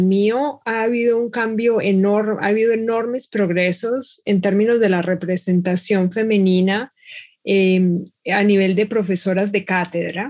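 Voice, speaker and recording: A woman speaks in a plain, everyday voice at a fairly slow pace, with ordinary pitch variation. Her loudness stays very even, and the recording is very clean with a silent background. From Colombia, Bogotá. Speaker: mathematics professor. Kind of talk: panel discussion.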